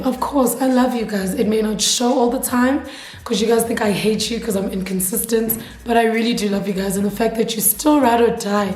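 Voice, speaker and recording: Noticeable background noise and audible room echo mark the recording. A woman speaks with a fairly high pitch and fairly even intonation. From Eswatini (Swaziland). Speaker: YouTuber. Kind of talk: casual chat. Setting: sit-down video to camera.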